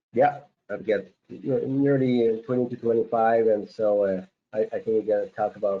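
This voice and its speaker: In a strong French Canadian accent, a man speaks at a fairly low pitch. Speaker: farm consultant. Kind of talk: webinar guest talk. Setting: online webinar. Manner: hesitant, many filler words.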